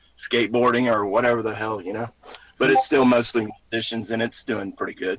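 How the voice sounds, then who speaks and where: Speaking with a Southern US accent, a man moves at a fairly quick pace. His intonation is monotone and flat. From US South, Mississippi. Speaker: musician. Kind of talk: casual chat.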